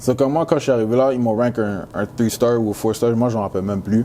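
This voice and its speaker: A man talks at a very fast pace with a Canadian accent and ordinary pitch variation, with noticeable background noise behind him. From Quebec, Montreal. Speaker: college football player. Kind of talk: interview. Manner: casual, halting with many fillers.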